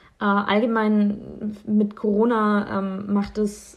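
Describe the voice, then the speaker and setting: A somewhat breathy woman's voice at a medium pitch. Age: 20s. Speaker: medical student. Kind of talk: personal account.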